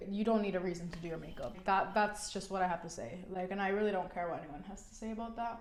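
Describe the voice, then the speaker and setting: In an animated tone, a woman with a New York accent speaks amid audible room echo. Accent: New York American. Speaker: beauty vlogger. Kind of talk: makeup tutorial chat. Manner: casual, filler-heavy.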